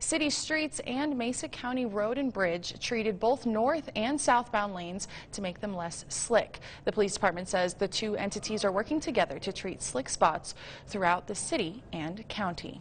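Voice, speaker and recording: At a moderate pace, a woman speaks at a fairly high pitch, an unremarkable speaking voice. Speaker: TV news anchor and reporter. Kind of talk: TV news anchor delivery.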